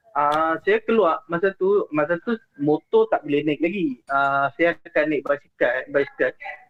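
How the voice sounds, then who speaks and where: A man talks at a fairly slow pace with hardly any pauses and very even loudness. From Penang, Malaysia. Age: 20s. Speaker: caller sharing ghost stories. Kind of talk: storytelling on a call-in show. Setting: remote call into the show. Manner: halting, many fillers.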